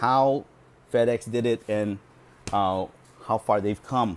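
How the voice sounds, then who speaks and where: A man talks with a medium pitch. His intonation stays fairly even. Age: 40s. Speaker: video blogger reviewing books. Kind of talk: casual monologue. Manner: hesitant, with many fillers. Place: home room. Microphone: earbuds.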